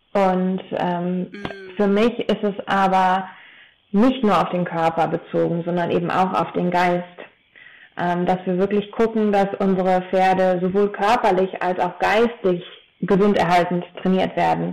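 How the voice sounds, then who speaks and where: Her loudness stays very even as a woman speaks at a medium pitch. The pace is fairly slow and the intonation monotone and flat. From Taunus, Hesse, Germany. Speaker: horse trainer and equine osteopath. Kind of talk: podcast interview. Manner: hesitant with many fillers.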